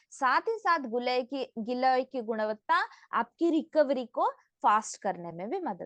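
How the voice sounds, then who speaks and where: The voice swings very widely in pitch, and the sound is dry and close with no echo. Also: woman. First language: not Hindi (speaking Hindi). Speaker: nutrition product trainer. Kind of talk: online product training. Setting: online session. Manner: interactive, asks audience questions.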